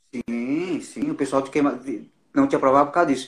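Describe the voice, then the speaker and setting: Very fast speech from a man, pitch varying in an ordinary way. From Brazil, Northeast. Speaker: actor. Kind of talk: casual interview chat.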